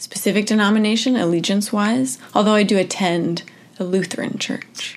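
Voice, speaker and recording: With an ordinary speaking voice, a woman speaks at a moderate pace and uses ordinary pitch variation. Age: 20s. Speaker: churchgoer interviewee. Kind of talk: interview.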